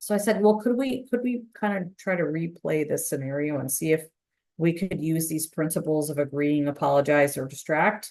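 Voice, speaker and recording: With lively intonation, a woman with an American accent speaks at a moderate pace in a very deep, low pitch. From Chicago. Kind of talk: webinar presentation. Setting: online webinar.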